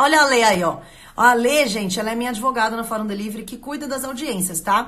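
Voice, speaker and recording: With audible room echo and noticeable background noise, a woman speaks high-pitched at a fairly quick pace with lively intonation. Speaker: lawyer running a court correspondent service. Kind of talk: live stream talk to viewers. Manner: fast; animated.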